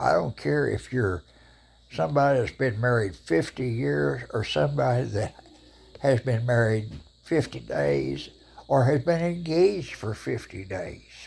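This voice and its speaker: Speaking at a fairly slow pace, a man with an American accent has a medium pitch, very wide pitch swings and a somewhat breathy sound. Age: 80s+. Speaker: vlogger. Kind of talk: casual monologue to camera. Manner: opinionated, emphatic.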